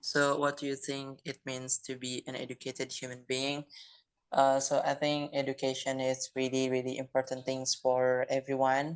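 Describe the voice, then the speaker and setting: This voice carries a non-native accent. Its delivery is moderate in pace. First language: non-native English speaker. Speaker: discussion participant. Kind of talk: group discussion. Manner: halting.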